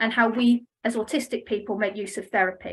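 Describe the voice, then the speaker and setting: With an English accent, a woman speaks at a fairly high pitch and with fairly even intonation. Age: 40s. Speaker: family therapist. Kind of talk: conference presentation. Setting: online conference. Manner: fast; scripted reading.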